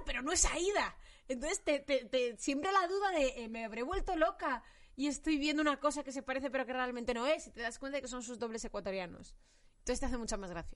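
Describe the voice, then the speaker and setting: Lively intonation at a very fast pace. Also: woman. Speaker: podcast host. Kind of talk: casual chat.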